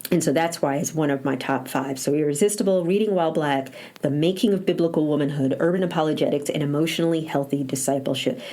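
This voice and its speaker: Over noticeable background noise, a woman with an American accent talks at a very fast pace in a very deep, low pitch, with ordinary pitch variation and very even loudness. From northern US. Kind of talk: solo podcast monologue.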